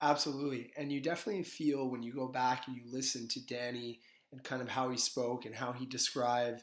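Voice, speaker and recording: Using a plain, everyday voice, a man speaks at medium pitch and a fairly quick pace with fairly even intonation. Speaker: podcast host. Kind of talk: podcast interview host.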